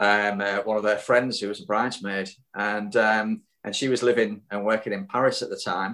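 With a Yorkshire accent, a man speaks at a moderate pace in a fairly low pitch, his bright, sharp tone held in a monotone, flat intonation. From Hull, Yorkshire. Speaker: cycling club guest. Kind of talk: casual interview chat. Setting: remote call. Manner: hesitant, many fillers.

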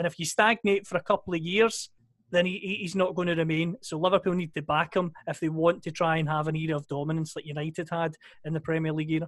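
A man's high-pitched voice at a very fast pace, with fairly even intonation. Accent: Scottish. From Scotland. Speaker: podcast co-host. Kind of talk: casual chat.

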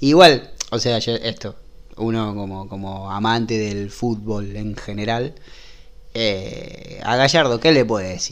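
A man speaks with a fairly low pitch and ordinary pitch variation. His pace is very slow. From Rosario, Argentina. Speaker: illustrator. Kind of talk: casual chat. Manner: halting.

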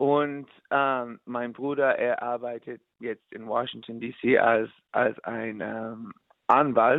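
A man with an English accent talks at a very slow pace, his intonation fairly even and his loudness swinging widely. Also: medium pitch for a man. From New York, US. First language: English (speaking German). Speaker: musician. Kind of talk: interview. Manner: halting.

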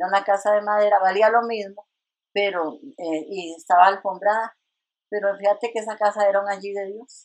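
A woman speaks at a moderate pace in a normal speaking voice, her medium pitch carried on fairly even intonation while her loudness swings widely. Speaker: retired nurse and church minister. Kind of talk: testimony.

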